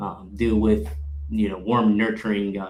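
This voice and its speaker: Heard with audible room echo, a man with a Puerto Rican accent speaks at a fairly slow pace with fairly even intonation. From Puerto Rico. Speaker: sales account executive. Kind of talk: panel discussion.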